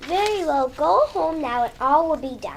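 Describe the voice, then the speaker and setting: In a put-on character voice pitched high, the speaker keeps a moderate pace over clear background noise. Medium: stage play. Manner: calm, gentle.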